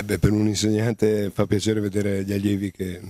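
A man talks very fast in a fairly low pitch with a dark, mellow tone. The sound is dry with no echo, against a quiet background. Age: 50s. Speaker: interviewer. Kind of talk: interview. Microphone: handheld.

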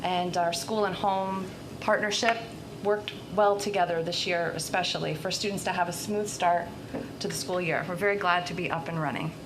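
A woman speaks at a fairly quick pace in a medium pitch with fairly even intonation, while noticeable background noise and audible room echo sit around her voice. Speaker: school principal. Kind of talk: report at board meeting.

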